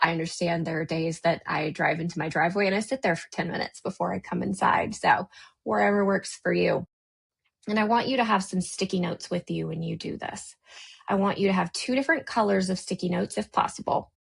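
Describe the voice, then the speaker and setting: Speaking at a very fast pace with an American accent, a woman uses lively intonation and vocal fry at a fairly low pitch. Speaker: podcast host and life coach. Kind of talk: unscripted podcast intro monologue. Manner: casual, conversational.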